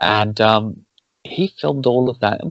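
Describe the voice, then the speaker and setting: Soft-spoken, a man talks in a fairly low pitch with ordinary pitch variation. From Wales. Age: 40s. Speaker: podcast host. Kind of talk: casual chat.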